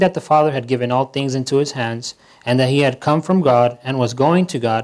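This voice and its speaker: The man's pitch moves in an ordinary way, and the background stays quiet. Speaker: pastor. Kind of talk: scripture reading in a sermon. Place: church.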